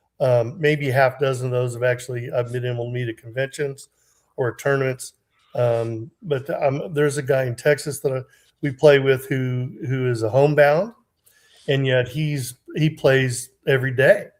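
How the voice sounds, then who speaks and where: A man's medium-pitched, somewhat breathy voice moves at a moderate pace, its intonation fairly even. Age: 60s. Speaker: game community player, guest. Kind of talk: casual chat. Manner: halting, many fillers.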